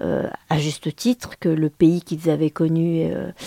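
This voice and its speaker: A woman's fairly low voice, dark and mellow in tone, moves at a fairly slow pace in a dry, close sound with no echo. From France, Le Mans. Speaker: journalist and author. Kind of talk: interview. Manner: halting.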